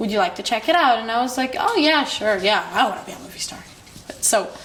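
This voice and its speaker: In an Israeli accent, a woman with a fairly high pitch speaks at a fairly quick pace, with audible room echo and noticeable background noise. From Israel, Jerusalem. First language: Hebrew. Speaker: filmmaker. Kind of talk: interview monologue. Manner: halting.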